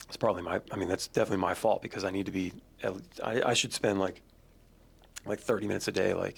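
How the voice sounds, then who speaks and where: Talking at a very fast pace, a man leaves long, frequent pauses. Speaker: rock band singer. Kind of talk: casual interview chat. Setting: backstage. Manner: halting.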